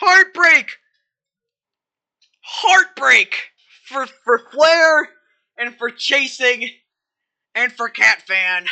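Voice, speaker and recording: Raising and projecting her high voice, a woman speaks very slowly with long, frequent pauses. Her pitch swings very widely, and her tone is bright and sharp. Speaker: sim racing commentator. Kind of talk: live commentary. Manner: animated.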